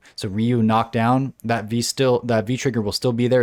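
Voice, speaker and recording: This man has a plain, everyday voice at medium pitch, speaking at a moderate pace in a dry, close sound with no echo. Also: very clean recording, silent background. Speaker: fighting game podcast host. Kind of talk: casual chat.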